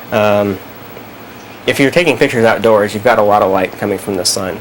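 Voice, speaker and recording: There is noticeable background noise behind this man. He has a fairly low pitch and fairly even intonation. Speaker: photography teacher. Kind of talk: live class explanation. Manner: hesitant, casual.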